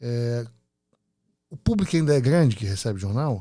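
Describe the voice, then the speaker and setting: A man's dark, mellow tone at a medium pitch and fairly slow pace, with ordinary pitch variation, on a very clean recording with a silent background. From Rio de Janeiro, Brazil. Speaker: podcast host. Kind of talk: podcast interview.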